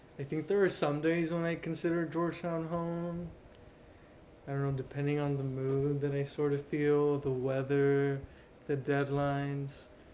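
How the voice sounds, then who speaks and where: A man with an American accent speaks at a moderate pace in a monotone, flat intonation. Noticeable background noise runs underneath. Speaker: university student. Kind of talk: interview. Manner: casual.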